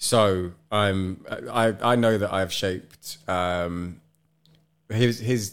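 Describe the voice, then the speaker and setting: A man's fairly low voice with a British accent and fairly even intonation. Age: 30s. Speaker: podcast host. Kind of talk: casual chat. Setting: living room.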